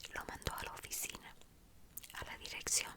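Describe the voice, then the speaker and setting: A woman is whispering at a fairly slow pace amid noticeable background noise. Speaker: ASMR creator. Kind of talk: casual talk to camera. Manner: whispered, soft-spoken.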